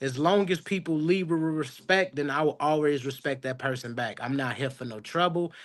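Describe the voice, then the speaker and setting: With a normal speaking voice, a man talks at a moderate pace with hardly any pauses, his pitch fairly high and its variation ordinary, against a quiet background. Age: 30s. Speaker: barber. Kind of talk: casual chat.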